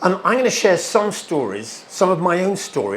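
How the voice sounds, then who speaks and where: Moderately paced male speech amid audible room echo and noticeable background noise. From England. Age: 50s. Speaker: guest speaker at a church. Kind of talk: church talk. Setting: stage with audience at a church. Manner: animated.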